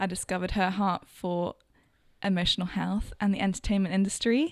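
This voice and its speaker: A woman with a London accent talks at a moderate pace and medium pitch with fairly even intonation. The recording is very clean with a silent background, and the sound is dry and close with no echo. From London, England. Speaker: interviewer and friend of host. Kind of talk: casual interview chat.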